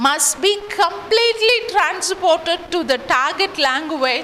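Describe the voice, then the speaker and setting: Over noticeable background noise, a woman with a Tamil accent speaks in a raised, projected voice at an extremely high pitch, with very wide pitch swings and a fairly slow pace. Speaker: English lecturer. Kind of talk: lecture.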